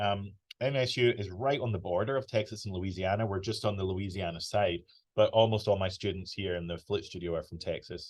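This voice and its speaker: This man talks at a fairly quick pace in a Scottish accent, his voice somewhat breathy. His pitch sits fairly low, and his intonation stays fairly even. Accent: British, Scottish. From Scotland. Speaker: flute professor. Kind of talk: online masterclass. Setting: video call from office. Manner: casual, chatty.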